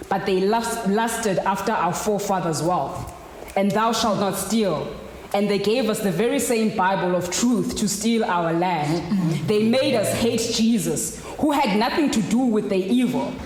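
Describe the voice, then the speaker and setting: A fairly slow pace carries this speech over noticeable background noise. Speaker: poet. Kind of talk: spoken word poetry performance. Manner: rhythmic, emphatic with repetitions.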